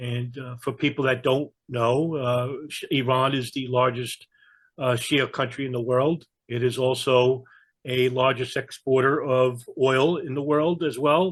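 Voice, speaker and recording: A man with a New York accent, medium in pitch, at a fairly slow pace. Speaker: geopolitical analyst. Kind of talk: interview conversation.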